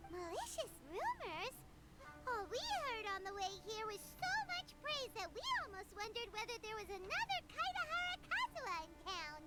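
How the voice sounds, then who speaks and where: An extremely high, squeaky, put-on character voice speaks at a moderate pace. Music plays in the background. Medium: video game. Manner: excitable, exclamatory.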